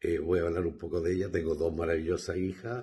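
This man's voice is somewhat breathy. He keeps a moderate pace, and his pitch varies in an ordinary way. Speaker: guest's father. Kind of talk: recorded message.

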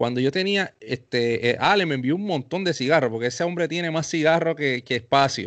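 A man talks at a fairly quick pace with hardly any pauses. His pitch is fairly high, with ordinary variation. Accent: Puerto Rican. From Puerto Rico, Carolina. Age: 30s. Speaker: podcast host and professional musician. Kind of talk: casual interview chat.

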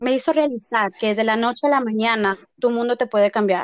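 Her voice sits fairly high and rises and falls in an ordinary way. The recording is dry and close, without any echo. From Texas, Mexican family. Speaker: paralegal and aspiring actress. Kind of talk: interview.

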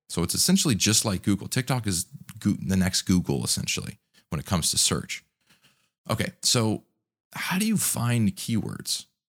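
Raspy with vocal fry, the voice carries lively intonation in a dry, close sound with no echo. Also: man, fairly low pitch for a man, moderate pace. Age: 30s. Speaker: podcast host, content creator. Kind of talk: solo podcast monologue, tutorial.

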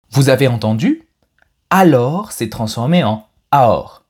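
On a very clean recording with a silent background, a man with a medium-pitched, somewhat breathy voice makes very wide pitch swings. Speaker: French language teacher podcast host. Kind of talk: pronunciation tutorial; scripted narration. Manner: clear, slow-paced delivery for learners.

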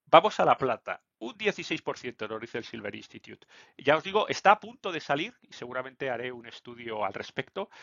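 Very wide pitch swings from a man, at a moderate pace. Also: medium pitch for a man, big swings in loudness. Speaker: finance YouTuber. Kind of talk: solo market commentary video. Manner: hesitant, many fillers.

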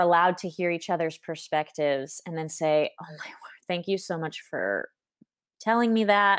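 In a very clean recording with a silent background, a woman with an American accent uses a normal speaking voice, fairly low in pitch, with ordinary pitch variation. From US, Southern California. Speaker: guest, expat mother. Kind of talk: casual interview.

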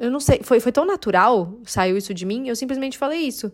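Here a woman speaks at a high pitch and a moderate pace. Her tone is animated, with lively intonation. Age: 30s. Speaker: podcast host. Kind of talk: casual solo monologue.

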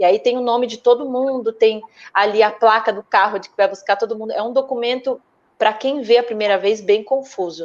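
A woman with an unremarkable speaking voice talks at a fairly quick pace and fairly high pitch, her intonation fairly even but her loudness swinging widely. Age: 30s. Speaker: actress. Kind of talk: casual interview chat.

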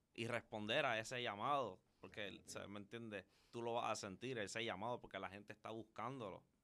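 Bright and sharp in tone, a man with a medium pitch speaks at a fairly quick pace with hardly any pauses and fairly even intonation. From Puerto Rico, Carolina. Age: young. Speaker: loctician. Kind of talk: interview.

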